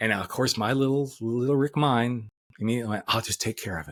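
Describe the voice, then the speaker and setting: The recording is very clean, with a silent background. A man speaks with a bright, sharp tone. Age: 60s. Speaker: life coach. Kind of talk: podcast interview.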